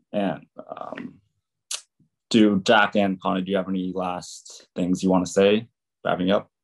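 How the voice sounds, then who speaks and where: Using a very deep, low pitch and an American accent, a man talks at a fairly slow pace in a monotone, flat intonation, with long, frequent pauses. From California. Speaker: university student. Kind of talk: student presentation.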